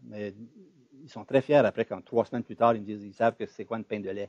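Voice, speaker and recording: An animated man's voice at medium pitch, with a dry, close sound and no echo. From Ontario (Franco-Ontarian). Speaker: sociologist and demographer, retired professor. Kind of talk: seminar discussion. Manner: animated, halting with repetitions.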